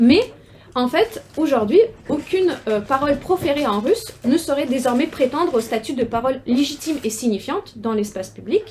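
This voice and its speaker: This woman talks at a moderate pace in a high pitch. Her voice swings very widely in pitch. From Ukraine, Russian-speaking city. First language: Russian (speaking French). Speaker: researcher, doctoral student. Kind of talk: academic seminar talk. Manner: halting, many hesitations and repetitions.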